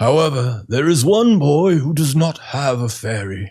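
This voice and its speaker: Putting on a character voice, a man sounds raspy at a fairly high pitch. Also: moderate pace. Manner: solemn, wise.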